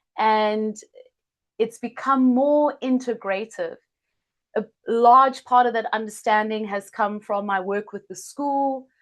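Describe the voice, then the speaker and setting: A woman with a South African accent speaks at a very slow pace, her pitch fairly high and her intonation fairly even. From South Africa, Cape Town. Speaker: healer and yoga teacher. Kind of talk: online masterclass introduction.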